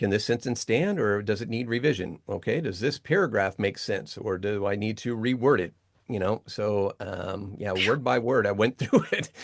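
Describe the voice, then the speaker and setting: A man with an ordinary speaking voice, fairly low in pitch, with ordinary pitch variation, a moderate pace and hardly any pauses. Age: 50s. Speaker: voice artist and Bible translator. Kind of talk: casual interview. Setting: home voiceover studio.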